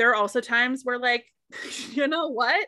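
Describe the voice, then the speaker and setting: Raised and projected, a woman's high, bright and sharp voice with an American accent shows ordinary pitch variation in a very clean recording with a silent background. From US Northeast, Boston area. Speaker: body image coach. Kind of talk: casual interview.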